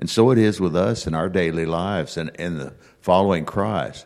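In a very clean recording with a silent background, a man with a very deep, low pitch speaks at a moderate pace, his lively intonation touched by vocal fry. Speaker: bible class participant. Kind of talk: informal, conversational scripture discussion. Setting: church classroom, speaking into a handheld microphone.

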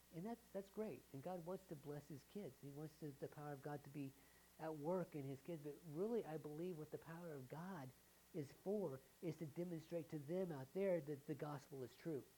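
A woman with an American accent, her pitch very deep and low, her tone dark and mellow, with ordinary pitch variation at a moderate pace. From US South. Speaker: pastor. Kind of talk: sermon. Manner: halting.

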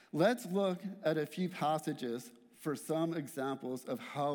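A man talks fairly slowly in a normal speaking voice, his intonation lively. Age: 40s. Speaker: church worker giving a guest sermon. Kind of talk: sermon. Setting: church.

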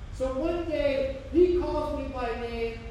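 Amid noticeable background noise and audible room echo, a woman speaks at a high pitch with lively intonation. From Hamilton, Ohio, US. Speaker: pastor. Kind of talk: sermon.

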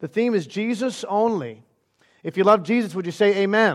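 In an animated tone, a man speaks at a fairly quick pace. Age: 30s. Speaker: pastor. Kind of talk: sermon. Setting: church. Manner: fast.

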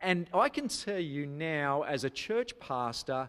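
Lively intonation marks this man's fairly high-pitched voice with an Australian accent, heard in a very clean recording with a silent background. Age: 30s. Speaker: pastor. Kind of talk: sermon.

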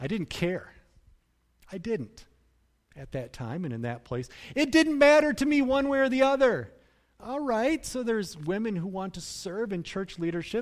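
A man's high-pitched voice with very wide pitch swings at a fairly slow pace, very clean recording and silent background. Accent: American. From US Midwest, Grand Rapids, Michigan. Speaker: pastor. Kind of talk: sermon.

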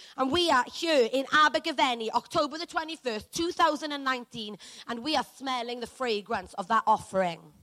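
The voice is raised and projected, with an animated tone and lively intonation. It moves at a moderate pace with hardly any pauses, in a bright, sharp tone. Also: woman, high pitch for a woman. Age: 30s. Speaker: preacher. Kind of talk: sermon. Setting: church. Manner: loud.

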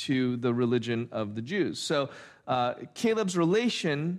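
This very clean recording, with a silent background, captures a man talking at a moderate pace. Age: 40s. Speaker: pastor. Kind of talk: sermon. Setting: church. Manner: halting.

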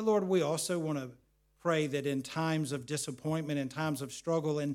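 With a plain, everyday voice, a man speaks at a fairly high pitch with ordinary pitch variation. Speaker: pastor. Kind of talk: sermon ending in a fervent closing prayer. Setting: church. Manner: earnest, pleading, heartfelt.

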